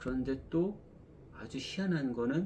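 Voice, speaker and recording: A man speaks at a fairly slow pace. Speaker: one-person picture book publisher. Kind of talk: casual vlog talk.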